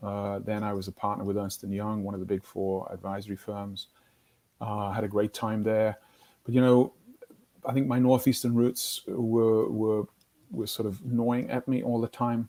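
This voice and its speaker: Fairly low in pitch, a man speaks in a dark, mellow tone at a moderate pace with fairly even intonation. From northeast England, Newcastle. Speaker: business executive, company co-founder. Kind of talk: interview.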